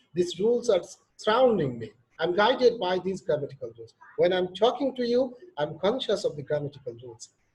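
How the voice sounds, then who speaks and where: In a Bangladeshi accent, a man with a high pitch shows very wide pitch swings and big swings in loudness. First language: Bengali. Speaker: professor. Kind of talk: lecture.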